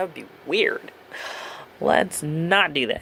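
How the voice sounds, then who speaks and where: Over a fair amount of background noise, the words come out rather slowly. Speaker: video blogger. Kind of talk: casual vlog monologue. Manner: casual, many fillers and hesitations.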